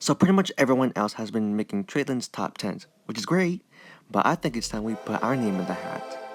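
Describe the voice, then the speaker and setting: A man at a medium pitch with lively intonation and a fairly quick pace, the sound dry and close with no echo, music in the background. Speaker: video game commentator. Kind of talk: game commentary voiceover. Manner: stuttering.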